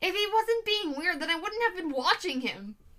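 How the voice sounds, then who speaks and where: A woman uses a put-on character voice, pitched extremely high with very wide swings. She speaks at a moderate pace in a raised, projected voice. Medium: read story. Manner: dramatic, insistent.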